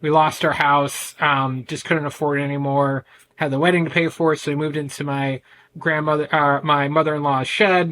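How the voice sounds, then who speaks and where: A man with a bright, sharp tone and a fairly high pitch speaks loudly at a moderate pace in an American accent, his intonation monotone and flat. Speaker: men's ADHD coach. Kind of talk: podcast interview.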